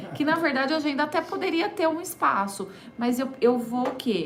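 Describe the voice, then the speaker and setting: A woman talks with lively intonation at a moderate pace, her voice carrying audible room echo over noticeable background noise. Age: 30s. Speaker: entrepreneur and holistic therapist. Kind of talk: radio interview. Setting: radio studio.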